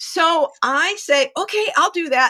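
A woman speaks in a raised, projected voice with a bright, sharp tone and very wide pitch swings. The sound is dry and close, with no echo. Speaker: publicist. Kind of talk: casual chat.

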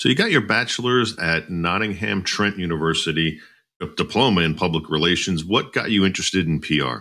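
On a very clean recording with a silent background, a man with a very deep, low voice talks at a fairly quick pace. His tone is bright and sharp, with lively intonation. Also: very even loudness. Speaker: podcast host. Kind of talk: podcast interview.

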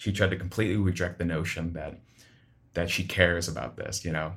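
In a Midwestern American accent, a man with a very deep, low pitch speaks at a fairly quick pace, somewhat breathy, with ordinary pitch variation. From Sioux City, Iowa. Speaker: writer. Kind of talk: personal testimony.

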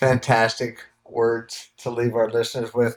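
Man of medium pitch at a fairly slow pace. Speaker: podcast host and coach. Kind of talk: podcast interview. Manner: warm, upbeat.

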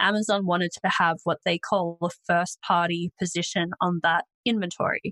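With an Australian accent, a woman speaks at a moderate pace in a fairly low, bright, sharp voice, monotone and flat with very even loudness and hardly any pauses, the sound dry and close with no echo. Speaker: e-commerce agency founder and author. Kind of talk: interview conversation.

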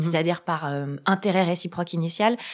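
With a plain, everyday voice, a woman speaks at a fairly low pitch and fairly even intonation in a very clean recording with a silent background. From France. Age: 30s. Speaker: love coach. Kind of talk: casual chat.

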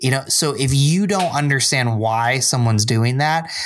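A man with an American accent and an ordinary speaking voice, medium in pitch, at a moderate pace with ordinary pitch variation, on a very clean recording with a silent background. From upstate New York (Binghamton). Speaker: church adult ministries director. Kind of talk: casual chat.

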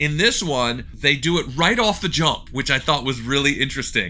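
A man speaks at a fairly quick pace with a fairly high pitch, a bright, sharp tone and vocal fry. His intonation is lively. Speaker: podcast co-host. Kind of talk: casual chat.

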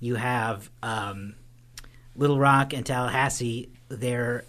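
Using an unremarkable speaking voice, this man holds a medium pitch and keeps his intonation fairly even. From Oklahoma, Tulsa. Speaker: podcast host, movie reviewer. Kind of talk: casual chat.

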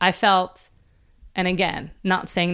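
A woman speaks in a plain, everyday voice at a fairly low pitch and moderate pace. The recording is very clean, with a silent background. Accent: American. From Philadelphia, US. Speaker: entrepreneur and author. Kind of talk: interview, personal story.

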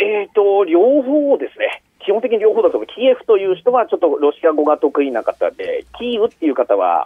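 Hardly any pauses break this man's speech. His pace is fairly quick. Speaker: media fixer in Ukraine. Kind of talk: interview. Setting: phone call. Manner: halting.

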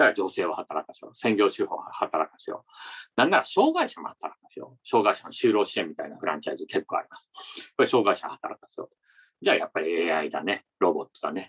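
The dry, close sound with no echo captures a man speaking at a fairly quick pace. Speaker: podcast host interviewing company presidents. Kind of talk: interview and commentary. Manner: formal.

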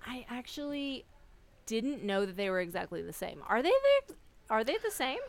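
A woman with a high voice talks at a moderate pace, taking long, frequent pauses. Her pitch swings very widely and her loudness shifts a lot. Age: 40s. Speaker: podcast guest. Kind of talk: casual chat.

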